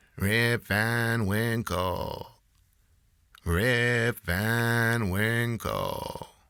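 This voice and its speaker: A man puts on a character voice at medium pitch, talking very slowly with fairly even intonation. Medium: read story. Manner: calling out, drawn-out.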